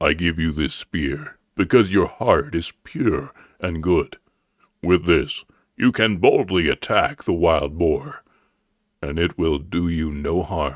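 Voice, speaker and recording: Putting on a character voice with a very deep, low pitch, a man speaks at a fairly slow pace with lively intonation in a dry, close sound with no echo. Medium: read story. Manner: warm, reassuring.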